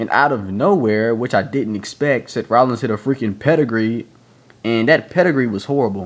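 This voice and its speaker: A man talks at a medium pitch, with ordinary pitch variation. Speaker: wrestling reviewer. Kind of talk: casual video review. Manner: fast; halting, many fillers.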